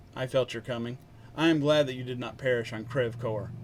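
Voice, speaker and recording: Using a put-on character voice, a man speaks with big swings in loudness over clear background noise. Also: medium pitch for a man, fairly quick pace, fairly even intonation. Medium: read story. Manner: calm, formal.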